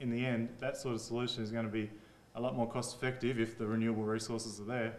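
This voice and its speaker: With an Australian accent, a man speaks at medium pitch in a monotone, flat intonation. Room echo is audible. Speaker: engineer presenting at a workshop. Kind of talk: workshop presentation. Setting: conference room with audience. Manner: casual, conversational.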